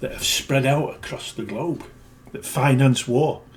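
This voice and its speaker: The voice is somewhat breathy, with a British accent. It moves at a fairly slow pace. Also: man. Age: 60s. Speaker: video blogger. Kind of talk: casual monologue. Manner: emphatic.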